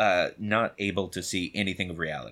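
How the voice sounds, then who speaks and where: An ordinary speaking voice moves at a moderate pace. The recording is very clean, with a silent background. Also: man. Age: 30s. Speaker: actor. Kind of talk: casual chat. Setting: studio.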